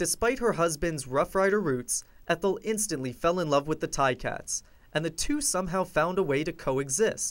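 A man with a high voice speaks at a moderate pace with lively intonation on a very clean recording with a silent background. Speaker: TV news reporter. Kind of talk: TV news feature narration.

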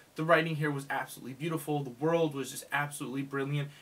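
A man is speaking. His intonation is monotone and flat. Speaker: book reviewer. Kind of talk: casual vlog chat. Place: home room. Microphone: phone near.

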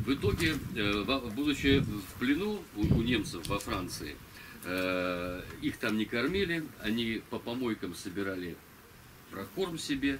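Amid noticeable background noise, a man speaks at a fairly slow pace with long, frequent pauses and very wide pitch swings. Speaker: local historian giving a talk. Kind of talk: lecture with reading aloud of a memoir. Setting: stage with audience. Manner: halting. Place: tent. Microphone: camera far.

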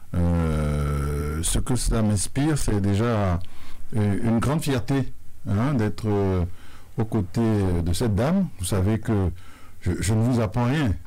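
Lively intonation rides over a dark, mellow tone delivered at a very slow pace. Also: man, fairly low pitch for a man. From Benin. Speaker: sports confederation president. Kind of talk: radio interview. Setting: radio studio. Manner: formal. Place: studio. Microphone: studio mic.

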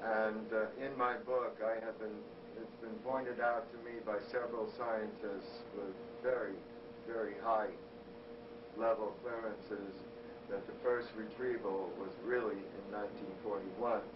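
Noticeable background noise runs under a man's speech, which is broken by frequent, long pauses. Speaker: interviewee. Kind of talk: interview answer. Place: office. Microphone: old recording.

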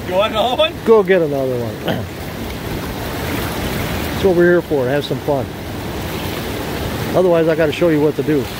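Noticeable background noise sits under fairly quick speech, and the sound is dry with no echo. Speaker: fishing guide or host filming. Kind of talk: casual vlog chat. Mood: upbeat, joking. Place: waterside. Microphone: phone near.

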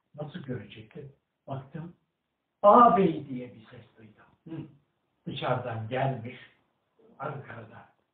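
A man's fairly high voice at a very slow pace, with lively intonation, big swings in loudness, long, frequent pauses and audible room echo. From Erzincan, Turkey; Turkey. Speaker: retired agricultural engineer; elderly storyteller. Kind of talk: interview answer, personal memoir. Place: home room. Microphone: camera far.

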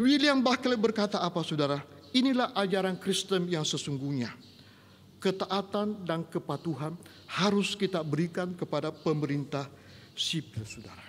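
This man's voice sits high in pitch, with light background noise audible. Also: lively intonation, moderate pace. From Indonesia. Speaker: pastor. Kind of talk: sermon. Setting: online church service. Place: church. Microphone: podium.

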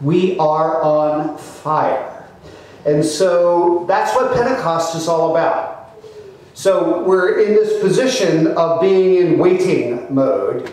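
A man talks at a high pitch with ordinary pitch variation. Strong echo fills the room. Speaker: clergyman preaching. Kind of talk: sermon. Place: church. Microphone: podium.

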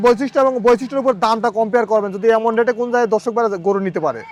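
A man speaks at an extremely high pitch, with ordinary pitch variation. Noticeable background noise sits under his voice. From Bangladesh, Pabna district (Ishwardi). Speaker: cattle farmer and dealer. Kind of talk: sales pitch.

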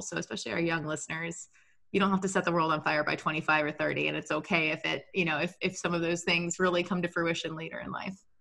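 Against a quiet background, a woman speaks fairly quickly at a fairly low pitch with fairly even intonation. Her tone is bright and sharp, with vocal fry. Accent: American. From Texas. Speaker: podcast co-host and engineer; podcast co-host. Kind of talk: podcast interview. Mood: warm, encouraging. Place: home room. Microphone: video call.

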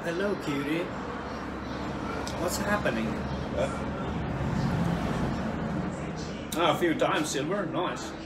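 A man talks at a fairly slow pace with long, frequent pauses and ordinary pitch variation. Loud background noise runs underneath. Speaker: livestreamer. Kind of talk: casual livestream chat.

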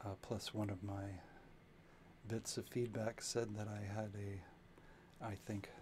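A soft-spoken man at a slow pace, fairly low in pitch, with a slightly mellow tone and little pitch movement.

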